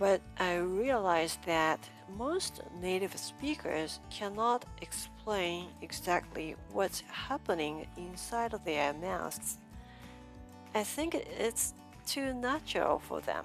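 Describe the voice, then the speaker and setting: A woman with a Japanese accent speaks at a very slow pace while music plays in the background. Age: 50s. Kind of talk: pronunciation lesson talk to camera.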